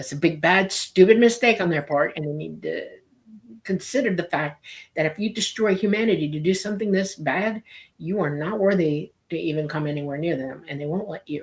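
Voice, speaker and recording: In an ordinary speaking voice, a woman with a fairly low pitch talks at a fairly quick pace with ordinary pitch variation. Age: 60s. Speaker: UFO commentator. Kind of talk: interview.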